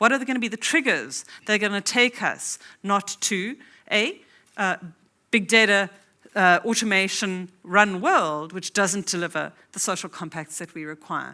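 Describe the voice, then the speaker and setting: A woman with a South African accent speaks at a moderate pace and medium pitch, her bright, sharp tone showing ordinary pitch variation and big swings in loudness, in a very clean recording with a silent background. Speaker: academic conference speaker. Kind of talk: conference keynote lecture.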